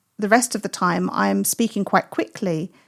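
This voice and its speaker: On a very clean recording with a silent background and a dry, close sound with no echo, a woman speaks with ordinary pitch variation. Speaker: birding podcaster. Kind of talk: casual chat. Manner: animated.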